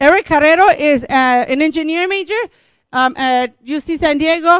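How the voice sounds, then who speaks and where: A woman speaks in a Spanish accent. The recording is very clean with a silent background, and the sound is dry and close with no echo. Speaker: school district administrator. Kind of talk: public meeting presentation.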